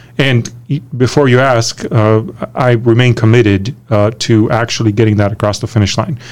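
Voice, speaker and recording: Here is a man with an American accent and an unremarkable speaking voice. He keeps a moderate pace and fairly even intonation. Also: medium pitch for a man. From Romania. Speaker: state politician. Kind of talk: interview.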